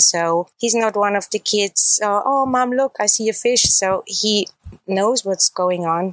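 A woman with a German accent speaks at a fairly slow pace with very even loudness, in a dry, close sound with no echo. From Austria, Salzburg. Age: 40s. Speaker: traveler. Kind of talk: interview.

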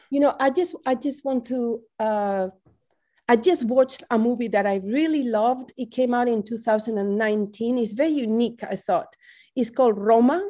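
A woman's fairly high voice with a Spanish accent and ordinary pitch variation, a very clean recording with a silent background. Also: moderate pace. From Spain, Madrid. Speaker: professor. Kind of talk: interview.

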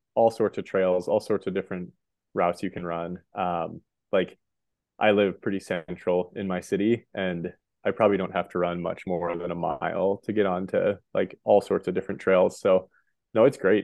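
A man with an American accent talks in a very deep, low pitch with fairly even intonation. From Montana, US. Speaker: professional ultra runner and high school running coach. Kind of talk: casual interview.

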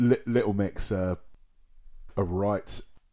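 On a very clean recording with a silent background, a man with a British accent speaks very slowly, his fairly low voice dark and mellow in tone. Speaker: music podcast co-host. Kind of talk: casual chat.

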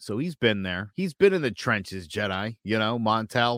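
In a normal speaking voice, a man with a fairly low pitch talks at a moderate pace, the sound dry and close with no echo on a very clean recording with a silent background. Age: 40s. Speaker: podcast co-host. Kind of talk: casual chat.

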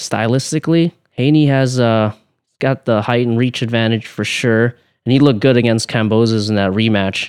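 Soft-spoken and at medium pitch, a man talks at a moderate pace in a dry, close sound with no echo and a quiet background. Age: 20s. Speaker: professional boxer. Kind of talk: casual interview.

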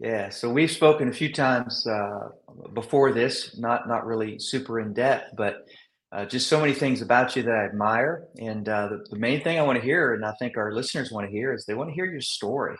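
With an ordinary speaking voice, a man talks at a fairly quick pace, medium in pitch, with ordinary pitch variation. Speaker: podcast host. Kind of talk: interview conversation.

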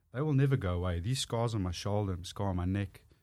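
A man's dark, mellow voice with a strong South African accent, fairly low pitch and ordinary pitch variation, on a very clean recording with a silent background. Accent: thick South African. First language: Afrikaans. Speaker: author and public speaker. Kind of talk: casual interview chat.

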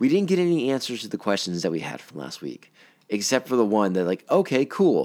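Heard on a very clean recording with a silent background, a man with an unremarkable speaking voice talks at a fairly quick pace and medium pitch. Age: 40s. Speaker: podcast host reviewing a TV series. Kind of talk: casual solo podcast commentary. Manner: conversational with frequent fillers and repetitions.

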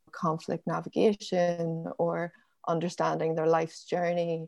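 With a Northern Irish accent, a woman talks at a fairly slow pace. The background is quiet. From Northern Ireland, Belfast and County Down. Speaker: forager and nature educator. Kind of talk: interview conversation.

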